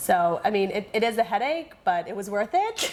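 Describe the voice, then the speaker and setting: There is noticeable background noise behind a woman speaking with an American accent. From Israel and US. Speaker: interviewee, mother of three. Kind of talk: casual interview. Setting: sit-down interview.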